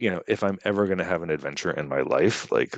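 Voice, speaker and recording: A man talks at a very fast pace with an American accent. His pitch is fairly low. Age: 50s. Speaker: lawyer. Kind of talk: interview. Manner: casual, many fillers.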